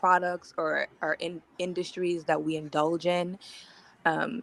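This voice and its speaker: A woman's fairly low voice with a slight Virgin Islands accent, fairly slow pace and a dry, close sound with no echo. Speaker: caller. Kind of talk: casual chat.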